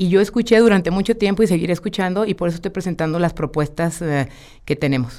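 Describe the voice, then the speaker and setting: Very fast speech in a dark, mellow tone with ordinary pitch variation comes through on a very clean recording with a silent background. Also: woman, fairly low pitch for a woman. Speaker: mayoral candidate, politician. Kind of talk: radio interview. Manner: energetic; direct.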